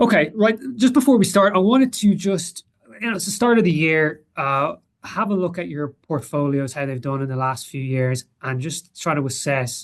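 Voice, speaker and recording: A man's high voice in a strong Irish accent, with very wide pitch swings at a moderate pace. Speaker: portfolio manager. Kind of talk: webinar presentation. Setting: webinar with screen share. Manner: halting, many fillers.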